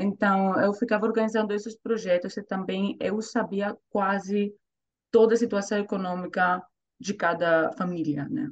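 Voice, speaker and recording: With ordinary pitch variation and a medium pitch, a woman speaks at a moderate pace. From Greece, Thessaloniki. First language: Greek (speaking Portuguese). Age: 30s. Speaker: volunteer and language learner. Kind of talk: interview. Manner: halting.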